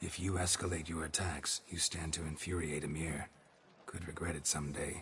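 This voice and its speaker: In a put-on character voice with a very deep, low pitch, a man speaks at a moderate pace in a deadpan tone, with clear background noise. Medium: video game. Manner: terse, deadpan.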